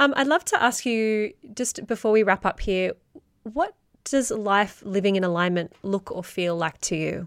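A woman with an Australian accent speaks at a moderate pace and medium pitch. Her pitch varies in an ordinary way in a dry, close recording with no echo. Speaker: podcast host. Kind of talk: interview conversation.

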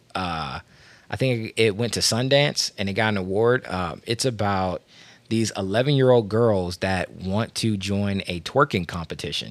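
A man with an American accent speaks in a normal speaking voice, fairly low in pitch with ordinary pitch variation, at a fairly slow pace on a very clean recording with a silent background. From Washington, D.C. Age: 30s. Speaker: podcast host. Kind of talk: casual chat.

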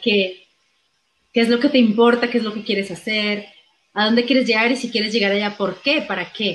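A woman talks at a fairly quick pace in a fairly high pitch. She has an unremarkable speaking voice. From Colombia. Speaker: actress and comedian. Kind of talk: interview.

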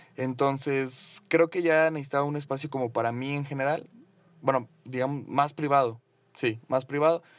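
Very clean recording with a silent background of a man at a fairly high pitch, moderate pace and fairly even intonation. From Mexico (Mexico City, then Cancún). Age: 20s. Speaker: podcaster and content creator. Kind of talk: casual solo monologue. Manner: hesitant, many fillers.

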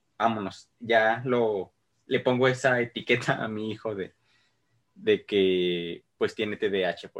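A man with a medium-pitched voice talks at a very slow pace, his loudness swinging widely while his intonation stays fairly even. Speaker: podcast host. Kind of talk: casual chat.

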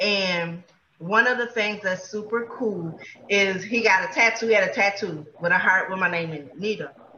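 A woman speaks in an unremarkable speaking voice at medium pitch. Her pitch variation is ordinary. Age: 40s. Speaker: podcast co-host. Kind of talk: casual chat.

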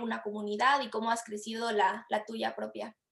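A woman's fairly high voice, bright and sharp in tone, at a fairly slow pace. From Latin America. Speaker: podcast host, marketer. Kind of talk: podcast interview.

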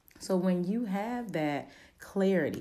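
A woman's dark, mellow voice with a slight Baltimore accent. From Baltimore, Maryland. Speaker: motivational speaker and podcast host. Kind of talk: motivational talk.

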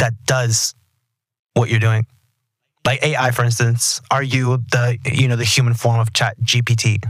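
Speaking with an American accent, a man holds a medium pitch at very even loudness, his voice somewhat breathy and his intonation monotone and flat. He moves at a fairly slow pace with long, frequent pauses. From Texas. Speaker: podcast host. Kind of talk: interview. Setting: studio.

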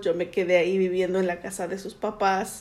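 A woman's voice at medium pitch and moderate pace. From Mexico City. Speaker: immigrant mother interviewed by daughter. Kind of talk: family interview. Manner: halting, with hesitations.

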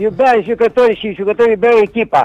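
Music plays in the background of a dry, close recording with no echo. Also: man. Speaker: retired football player and coach. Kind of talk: phone interview.

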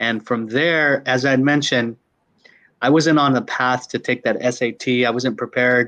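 Against a quiet background, a man with an American accent speaks fairly slowly at a medium pitch, keeping his intonation fairly even. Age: 50s. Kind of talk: interview.

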